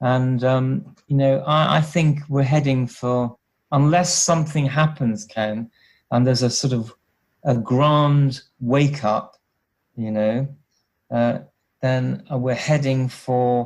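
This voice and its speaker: Speaking very slowly with a British accent, a man keeps a medium pitch and fairly even intonation on a very clean recording with a silent background. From UK. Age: 60s. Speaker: health researcher and former HIV nurse. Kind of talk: interview.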